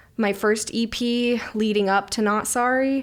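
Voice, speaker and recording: In a very clean recording with a silent background, a woman with an American accent speaks in a fairly high pitch with fairly even intonation. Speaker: singer-songwriter. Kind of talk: casual interview chat.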